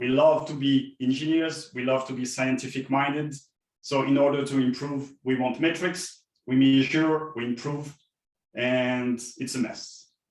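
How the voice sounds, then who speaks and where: A man's fairly slow, monotone speech with flat intonation. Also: medium pitch for a man. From France. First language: French. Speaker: software developer advocate, keynote speaker. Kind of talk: conference keynote talk.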